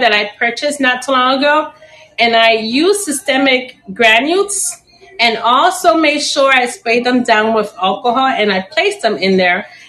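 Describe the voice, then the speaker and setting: A woman's raised, projected voice, high in pitch, over noticeable background noise. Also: very even loudness. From Chicago, raised by Puerto Rican family; later Puerto Rico. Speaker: plant seller and teacher. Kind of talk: live-stream sales auction. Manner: casual, chatty.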